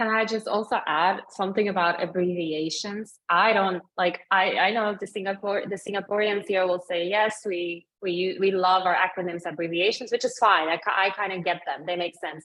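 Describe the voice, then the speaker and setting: A woman with a non-native accent, moderate pace and hardly any pauses. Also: medium pitch for a woman, fairly even intonation. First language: not English. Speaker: webinar guest speaker. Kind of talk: webinar discussion.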